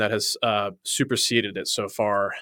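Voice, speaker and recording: A man uses a normal speaking voice at a medium pitch. His intonation is fairly even. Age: 30s. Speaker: podcast co-host. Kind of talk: casual chat; sales pitch.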